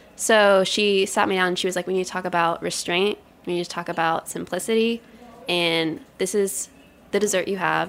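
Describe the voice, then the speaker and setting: A woman speaks at a medium pitch with ordinary pitch variation in a normal speaking voice. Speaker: pastry chef. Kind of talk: interview conversation.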